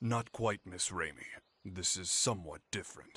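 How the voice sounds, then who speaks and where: Using a put-on character voice, a man speaks at a moderate pace and a fairly low pitch. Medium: video game. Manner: formal, precise.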